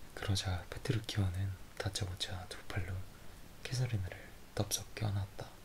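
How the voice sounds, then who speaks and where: A man whispering at a fairly slow pace. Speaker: ASMR creator. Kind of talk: story reading with dialogue. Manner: whispered.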